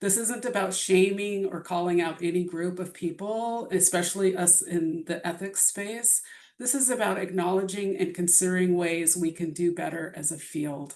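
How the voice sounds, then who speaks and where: A woman talks with hardly any pauses at a medium pitch. Her voice sounds shaky. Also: ordinary pitch variation, moderate pace. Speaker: bioethics presenter. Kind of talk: lecture. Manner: shaky voice.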